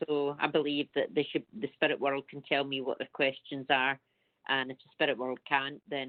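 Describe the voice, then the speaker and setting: A woman with a Scottish accent and a very deep, low voice, flat monotone intonation and a moderate pace. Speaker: psychic medium. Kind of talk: radio interview.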